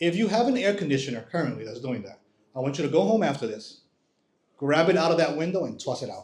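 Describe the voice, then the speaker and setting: Audible room echo surrounds a man with a fairly high pitch and vocal fry. His pitch swings very widely, and his pace is very fast. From New York area, born in Dominican Republic. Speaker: home inspector. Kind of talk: presentation to live audience. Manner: conversational.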